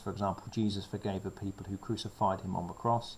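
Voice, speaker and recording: A man speaks very fast in a fairly low, somewhat breathy voice. His intonation is monotone and flat. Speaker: secondary school RS teacher. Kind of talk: revision lecture. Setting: recorded video lesson during lockdown. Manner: casual with fillers.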